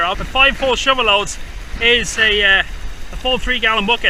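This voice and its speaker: Shouting loudly with an Irish accent, a man hits an extremely high pitch with ordinary pitch variation, and noticeable background noise plays behind him. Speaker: gold prospecting youtuber. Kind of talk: outdoor tutorial vlog. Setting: outdoors by a river. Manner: loud, shouting over river.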